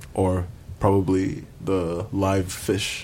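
The man's voice sits at a fairly low pitch. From Zambia. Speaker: graduate student. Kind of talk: radio interview.

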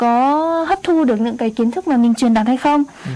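A woman's high voice at a fairly slow pace, with lively intonation. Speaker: radio co-host and interpreter. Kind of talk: interpreting and informational radio talk.

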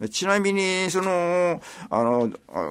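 A man talks very slowly, his pitch rising and falling over a very wide range. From Japan, Kobe Suma area. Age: 80s+. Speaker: local elder storyteller. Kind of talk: radio interview reminiscence. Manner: halting with many fillers.

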